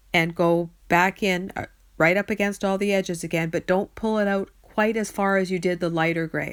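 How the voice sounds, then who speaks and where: A woman with an unremarkable speaking voice, medium pitch and moderate pace, on a very clean recording with a silent background. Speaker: card-making crafter. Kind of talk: tutorial. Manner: casual, chatty.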